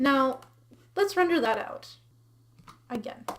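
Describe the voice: Speaking slowly, a woman uses a high pitch and lively intonation.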